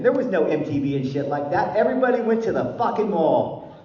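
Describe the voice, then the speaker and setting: With an American accent, a man talks at a moderate pace in an animated tone with very wide pitch swings, against audible room echo and noticeable background noise. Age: 60s. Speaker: recovery speaker. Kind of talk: speaker meeting talk.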